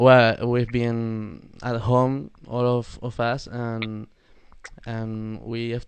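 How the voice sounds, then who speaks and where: With a Spanish accent, a man speaks at medium pitch with fairly even intonation. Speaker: metal band member. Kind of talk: casual interview. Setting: live video call. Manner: halting.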